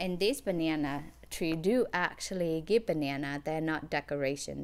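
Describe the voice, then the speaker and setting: This woman's very deep, low voice carries vocal fry and lively intonation. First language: not English. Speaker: gardening vlogger. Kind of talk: casual tutorial. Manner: halting.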